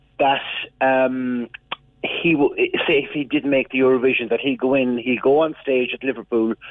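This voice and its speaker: A man with an Irish accent speaks at a moderate pace and a fairly high pitch. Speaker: music expert. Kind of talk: radio interview.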